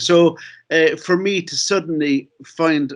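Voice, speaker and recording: In a quiet background, a man talks with a Cork accent. His intonation stays fairly even. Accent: Cork Irish. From Ireland, Cork City. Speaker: novelist and filmmaker. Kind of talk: conference talk. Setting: video call. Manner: fast; halting.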